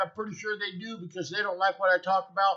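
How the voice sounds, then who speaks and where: A man's raised, projected voice is high in pitch, with a bright, sharp tone. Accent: American. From United States. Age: 60s. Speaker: vlogger. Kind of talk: casual monologue. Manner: animated.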